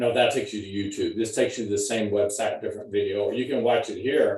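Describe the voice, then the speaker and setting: Speaking at a fairly quick pace, this man has a Texas accent. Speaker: college nutrition professor. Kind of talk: lecture. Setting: video call. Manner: halting, repetitive.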